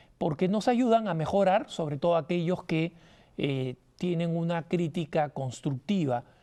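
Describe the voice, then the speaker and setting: In a high, dark and mellow voice with ordinary pitch variation, a man speaks at a fairly slow pace. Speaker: TV host. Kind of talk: TV talk show monologue. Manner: animated.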